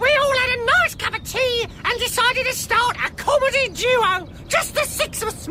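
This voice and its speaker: In a put-on character voice with extremely high pitch, the speaker moves at a moderate pace with hardly any pauses. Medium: audio drama. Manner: quick, sardonic.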